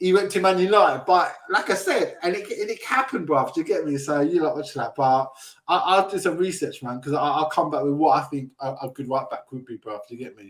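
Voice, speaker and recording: A man with a South London accent talks at a fairly quick pace, barely pausing, in a high pitch. His intonation is lively, and his loudness swings widely. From South London, England. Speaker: football fan show host. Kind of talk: casual chat. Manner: animated.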